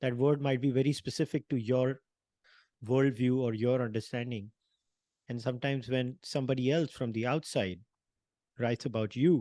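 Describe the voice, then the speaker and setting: Against a quiet background, a man talks at a moderate pace with long, frequent pauses, a dark, mellow tone and fairly even intonation. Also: medium pitch for a man. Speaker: panel discussion host. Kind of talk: podcast interview. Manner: halting, repeats words.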